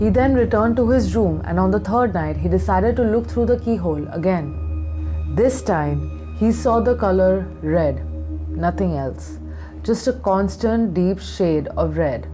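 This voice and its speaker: Music plays in the background as a woman talks at a fairly slow pace with very even loudness. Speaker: makeup artist. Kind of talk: horror story narration.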